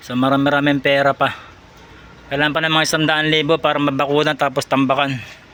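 A man at a fairly high pitch, very fast pace and monotone, flat intonation. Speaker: vlogger, overseas worker in Saudi Arabia on vacation. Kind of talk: casual video tour. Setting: at home.

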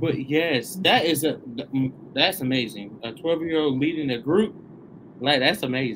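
Through noticeable background noise, a man with an American accent speaks in an animated tone at a fairly slow pace and fairly high pitch, with ordinary pitch variation and long, frequent pauses. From Tennessee, US South. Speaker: online show host. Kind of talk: interview. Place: studio.

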